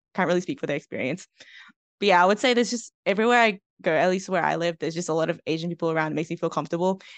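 Against a quiet background, a woman with an Australian accent and a fairly low pitch speaks at a very fast pace with ordinary pitch variation, the sound dry and close with no echo. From Melbourne, western suburbs. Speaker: university student and writer. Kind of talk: casual interview chat.

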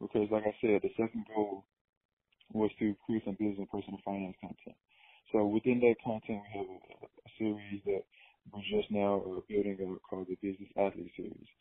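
A man talks at a fairly quick pace in a fairly low voice. His intonation is monotone and flat. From small town in eastern Alabama, US South. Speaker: professional basketball player and media company founder. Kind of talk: casual interview.

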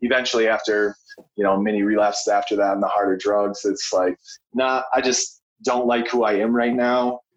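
In an American accent, a man with a fairly low voice talks at a moderate pace in a flat monotone. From west central Minnesota. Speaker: recovering addict, outdoor recovery program leader. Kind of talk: casual interview, personal testimony.

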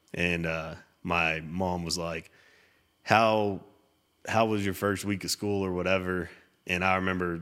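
The voice comes with a West Texas accent and a bright, sharp tone. Its intonation stays monotone and flat. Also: man, very clean recording, silent background. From Texas, Littlefield. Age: 30s. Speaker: custom home builder. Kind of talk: casual chat.

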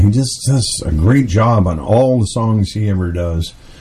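A man speaking at a very slow pace with very wide pitch swings, over noticeable background noise. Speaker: radio host. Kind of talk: radio DJ patter, chatty countdown-show host banter. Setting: studio. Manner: upbeat, folksy, chatty, fillers and repeated catchphrases; enthusiastic, warm, pushes on with 'let us get on with the show'.

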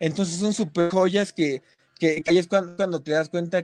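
High-pitched male speech, fairly even in intonation. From Mexico, State of Mexico (Ecatepec). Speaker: rock musician. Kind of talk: casual interview. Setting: online live stream. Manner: halting, repeats words.

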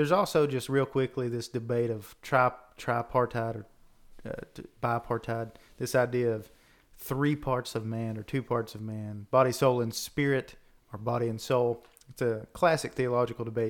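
At a moderate pace, a man talks in an ordinary speaking voice of medium pitch with fairly even intonation. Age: 30s. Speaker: podcast host. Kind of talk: casual theological discussion.

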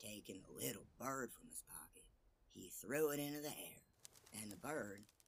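Lively intonation marks this man's voice, which has a slightly husky edge.

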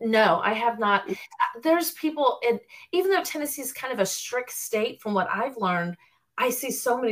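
This woman has an unremarkable speaking voice and an American accent. Her intonation is lively and her pace moderate. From Florida (Orlando area). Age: 40s. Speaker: personal trainer and nutrition student. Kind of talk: casual interview.

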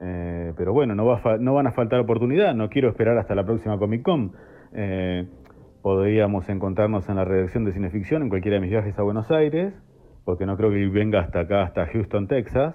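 A normal speaking voice with ordinary pitch variation, moving at a fairly quick pace. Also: man, fairly low pitch for a man. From Argentina, La Plata. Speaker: archive collector and researcher. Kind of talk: interview.

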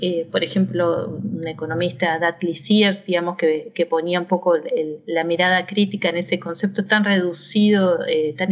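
With an ordinary speaking voice, a woman of medium pitch talks at a moderate pace in fairly even intonation. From Argentina. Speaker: university professor. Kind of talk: interview.

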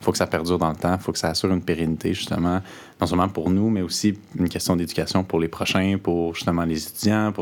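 Very fast pace with fairly even intonation. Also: man. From Quebec, Eastern Townships (Bolton West). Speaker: university student. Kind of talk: interview.

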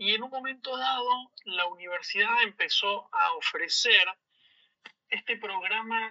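A very slow male voice with a Rioplatense accent, dry and close with no echo. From Argentina, Buenos Aires suburbs (San Isidro). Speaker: business school student. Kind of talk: interview. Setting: remote call.

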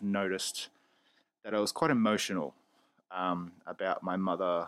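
The recording is very clean, and the background is silent. In it, a man talks with an Australian accent. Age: 20s. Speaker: podcast host. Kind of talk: solo opinion podcast. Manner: casual, opinionated.

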